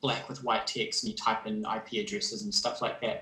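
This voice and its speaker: A man with a New Zealand accent, a bright, sharp tone and very wide pitch swings. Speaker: game developer. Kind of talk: livestream presentation. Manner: hesitant, many fillers.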